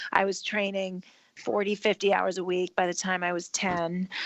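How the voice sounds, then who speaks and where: A woman with a normal speaking voice talks at a moderate pace and a medium pitch, with ordinary pitch variation. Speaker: marketing executive. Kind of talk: interview.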